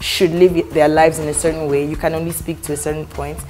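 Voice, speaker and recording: Faint music plays in the background. Over it, a woman talks with a very deep, low pitch. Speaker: talk show guest. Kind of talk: interview answer. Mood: warm, jokey. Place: studio.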